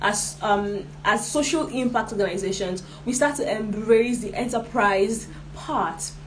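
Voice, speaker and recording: A woman with a fairly high voice speaks over noticeable background noise, with audible room echo. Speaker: social enterprise trainer. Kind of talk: online workshop lecture.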